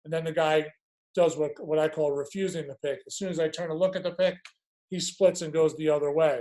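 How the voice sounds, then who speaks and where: A man speaks at a fairly high pitch and a fairly quick pace. His intonation is monotone and flat. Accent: strong Long Island. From Long Island, New York. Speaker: lacrosse coach. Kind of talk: coaching webinar. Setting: video call webinar. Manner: hesitant, many fillers and repeats.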